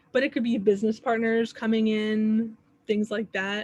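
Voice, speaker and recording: Somewhat breathy and fairly high, a woman's voice moves along at a moderate pace. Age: 30s. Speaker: astrology teacher. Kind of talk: workshop. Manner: casual.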